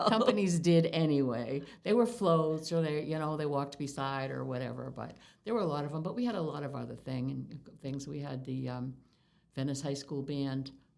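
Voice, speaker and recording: With audible room echo, a woman speaks fairly quickly in a very deep, low pitch and lively intonation. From Massachusetts, US. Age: 70s. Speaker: longtime local resident. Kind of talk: oral history interview. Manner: halting.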